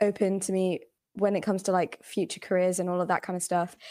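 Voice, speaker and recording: A woman with a London accent, medium in pitch and monotone, flat in intonation, in a very clean recording with a silent background. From England, British Bengali household. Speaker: podcast guest. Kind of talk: casual chat.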